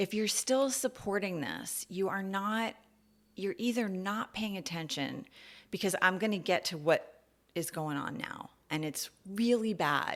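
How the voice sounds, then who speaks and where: Using a normal speaking voice, a woman with an American accent talks at medium pitch and a fairly slow pace, with ordinary pitch variation. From US Northeast, New York City. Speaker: podcast host. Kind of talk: personal monologue podcast. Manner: casual, conversational with fillers.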